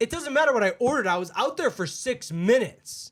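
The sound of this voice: A man puts on a character voice, extremely high-pitched and fairly bright in tone, speaking at a fairly quick pace with lively intonation.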